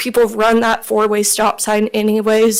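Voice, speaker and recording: Over noticeable background noise, a woman with a fairly high voice speaks at a fairly slow pace. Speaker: resident giving public comment. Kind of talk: public comment. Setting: city council meeting.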